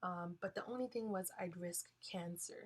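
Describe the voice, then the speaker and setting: A woman speaks at a medium pitch with ordinary pitch variation. Her voice is somewhat breathy. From Hawaii, Kalihi (Oahu). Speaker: college student speaker. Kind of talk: guest talk in a class lecture. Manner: halting, many fillers.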